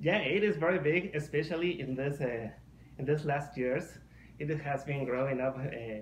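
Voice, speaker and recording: A man with a Mexican accent talks at a moderate pace, his fairly high voice somewhat breathy. His pitch varies in an ordinary way, and the room echo is audible. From Mexico. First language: Spanish. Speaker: furry artist. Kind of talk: casual podcast interview. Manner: halting.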